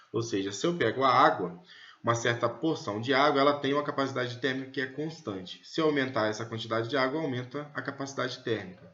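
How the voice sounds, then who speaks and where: There is audible room echo on this recording. A man speaks at a medium pitch. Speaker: physics teacher. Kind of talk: lecture.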